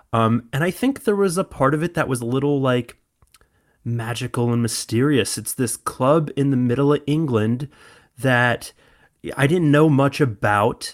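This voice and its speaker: With an American accent, a man speaks at a moderate pace and medium pitch with ordinary pitch variation. The recording is very clean, the background silent. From US Midwest (small town). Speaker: football fan, former music tour worker. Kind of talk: interview. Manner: animated.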